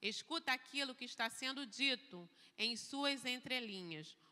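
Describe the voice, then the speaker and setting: A woman speaks at a high pitch with a bright, sharp tone. Her intonation is lively, and her pace is fairly slow. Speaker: church speaker. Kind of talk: lecture.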